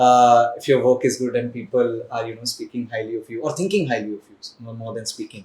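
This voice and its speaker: Somewhat breathy, a man of medium pitch talks at a fairly quick pace with fairly even intonation and big swings in loudness. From India, Haryana (Panipat). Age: 20s. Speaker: actor. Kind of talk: interview.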